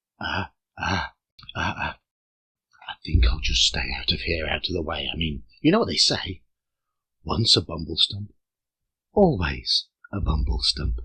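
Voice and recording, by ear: A man's put-on character voice, extremely low in pitch, bright and sharp with a slightly husky edge, big pitch swings, a fairly slow pace and long, frequent pauses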